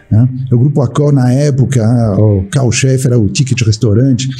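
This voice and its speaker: A man of medium pitch at a fairly quick pace with fairly even intonation, with music in the background. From France. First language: French (speaking Portuguese). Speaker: supply chain executive. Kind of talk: interview. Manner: hesitant, many fillers.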